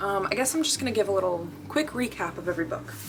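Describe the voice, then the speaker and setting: A woman speaking over music in the background. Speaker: book vlogger. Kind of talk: casual vlog talking to camera. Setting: in bed at night. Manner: fast; animated, filler-heavy with um and like.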